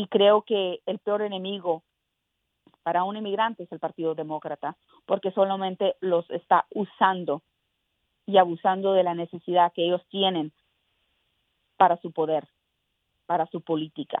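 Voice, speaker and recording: A woman's medium-pitched voice at a moderate pace, with fairly even intonation and long, frequent pauses. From Mexico, raised in South Texas. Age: young. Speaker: congressional candidate. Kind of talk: political interview. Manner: hesitant with repetitions.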